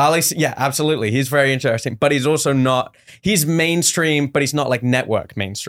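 A man with an English accent and a fairly high pitch, at a fairly quick pace, with ordinary pitch variation, very even loudness, and a very clean recording with a silent background. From England. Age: 20s. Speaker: stand-up comedian. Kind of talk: casual chat.

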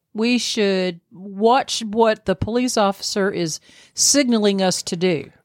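A woman with a Southern US accent speaks very slowly at a medium pitch with ordinary pitch variation. The recording is very clean, dry and close, with a silent background and no echo. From US South. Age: 60s. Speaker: podcast co-host. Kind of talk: casual chat.

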